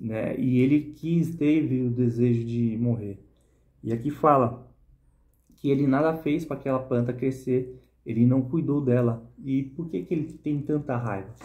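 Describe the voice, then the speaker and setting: Against a quiet background, a man with a dark, mellow, somewhat breathy tone speaks at a fairly slow pace with ordinary pitch variation. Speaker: bible reflection vlogger. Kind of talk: Bible reading and reflection. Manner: casual, informal. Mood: earnest, personal. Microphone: phone near.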